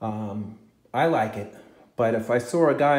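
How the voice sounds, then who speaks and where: Audible room echo around a man's medium-pitched voice with ordinary pitch variation. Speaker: guitar collector and vlogger. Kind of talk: casual video talk. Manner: hesitant, many fillers.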